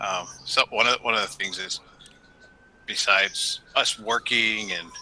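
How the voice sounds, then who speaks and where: The man's delivery is fairly slow. Background noise can clearly be heard behind him. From Hawaii. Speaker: craft beer founder. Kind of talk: casual interview.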